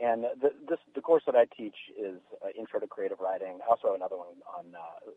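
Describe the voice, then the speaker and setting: This man has an American accent. He talks at a fairly quick pace. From US, mixed (Mississippi, Washington, Montana). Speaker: fiction writer and creative writing teacher. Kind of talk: radio interview. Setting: studio. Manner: halting, many fillers.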